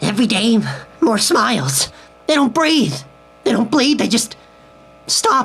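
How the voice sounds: Using a put-on character voice, a woman speaks at a fairly slow pace and fairly high pitch, her fairly bright tone carrying a slightly husky edge and big pitch swings.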